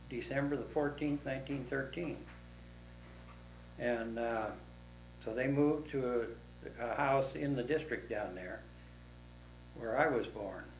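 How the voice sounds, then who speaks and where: A man with an American accent speaks at a fairly slow pace and medium pitch, using ordinary pitch variation. There are long, frequent pauses, and audible room echo can be heard. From Dixon, California (US West). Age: 80s+. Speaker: oral history interviewee. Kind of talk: oral history interview. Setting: at his home. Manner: halting.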